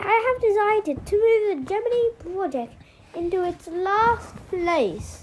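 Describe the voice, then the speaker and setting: A woman uses a put-on character voice with extremely high pitch, speaking at a fairly slow pace. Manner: biting, clipped delivery.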